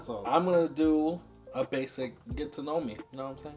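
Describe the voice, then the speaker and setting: Over noticeable background noise, a man with an American accent talks at a moderate pace with ordinary pitch variation. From New York City (Harlem), then Jersey City, New Jersey. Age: 20s. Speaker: YouTuber, photographer. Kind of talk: casual vlog monologue. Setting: indoors, alone in a room filming. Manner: relaxed, rambling filler.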